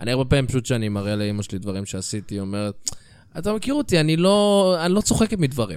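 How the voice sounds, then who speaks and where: With a medium pitch and very wide pitch swings, a man talks at a very fast pace. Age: 30s. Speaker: comedy podcast co-host. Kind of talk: casual chat.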